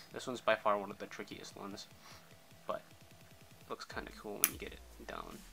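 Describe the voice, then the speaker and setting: A man's voice with long, frequent pauses and music in the background. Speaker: zippo trick tutorial youtuber. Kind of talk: tutorial. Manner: casual, filler-heavy.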